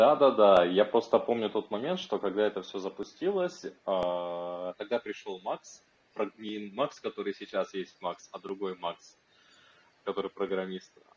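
A man speaks with a fairly low pitch. His pace is fairly slow, with ordinary pitch variation. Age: 20s. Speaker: crypto project team lead, marketer. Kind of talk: online community workshop interview.

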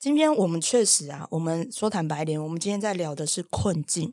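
A woman's normal speaking voice, fairly quick and lively in intonation, on a very clean recording with a silent background. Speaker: animal communicator and podcast host. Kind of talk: casual chat.

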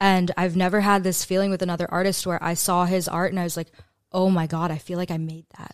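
A woman talks at a very fast pace. Her pitch is fairly low and her intonation monotone and flat. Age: 30s. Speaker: company founder and CEO. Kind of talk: casual interview chat.

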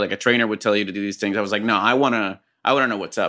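A man talks at a very fast pace in a bright, sharp tone, on a very clean recording with a silent background. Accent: Puerto Rican. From Puerto Rico. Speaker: actor and comedian. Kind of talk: casual chat.

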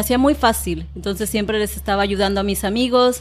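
Here is a woman with a plain, everyday voice at a medium pitch. Her intonation is fairly even. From Mexico, Colima (Manzanillo). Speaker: YouTube creator and Spanish teacher. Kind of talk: interview.

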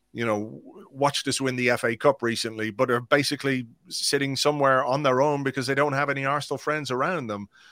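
Speaking fairly quickly with an Irish accent, a man keeps fairly even intonation in a bright, sharp tone. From England then Ireland. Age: 50s. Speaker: blogger and podcaster. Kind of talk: casual chat.

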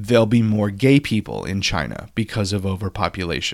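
Recorded very cleanly against a silent background, a man with an unremarkable speaking voice talks at a moderate pace and a fairly low pitch. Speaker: podcast host. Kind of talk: casual chat.

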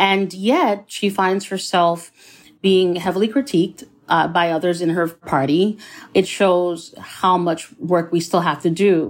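A plain, everyday voice, a woman at medium pitch with ordinary pitch variation, very even loudness and a fairly slow pace. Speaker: professor, author. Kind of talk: interview.

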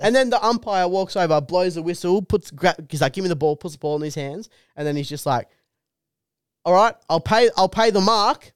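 A man's high pitch in an Australian accent, with lively intonation and a fairly quick pace, in a dry, close sound with no echo, on a very clean recording with a silent background. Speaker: comedian. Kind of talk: casual chat.

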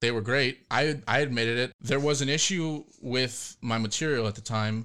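At a moderate pace, a man with an unremarkable speaking voice and medium pitch talks in a very clean recording with a silent background. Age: 20s. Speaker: fingerboard deck maker. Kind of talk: casual interview chat.

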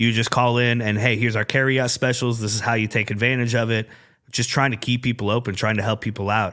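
Captured in a very clean recording with a silent background, a man with a medium-pitched, bright, sharp tone talks at a very fast pace with an American accent. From Iowa, Des Moines area (Urbandale). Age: 40s. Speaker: sports radio program director. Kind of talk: casual chat. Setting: studio.

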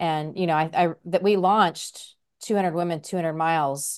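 A woman has an ordinary speaking voice with a fairly low pitch. She talks at a moderate pace over a quiet background. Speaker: podcast co-host. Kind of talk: casual chat.

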